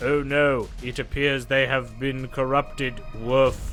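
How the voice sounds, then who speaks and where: Over clear music in the background, a man in a put-on character voice speaks fairly slowly at medium pitch. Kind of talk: comic voicing by the game master. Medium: actual play. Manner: punctuates speech with barks.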